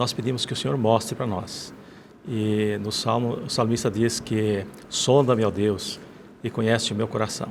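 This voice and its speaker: With a Rio Grande do Sul accent, a man speaks at a moderate pace against noticeable background noise. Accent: gaúcho. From Rio Grande do Sul, Brazil. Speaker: former pastor. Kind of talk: testimony. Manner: halting.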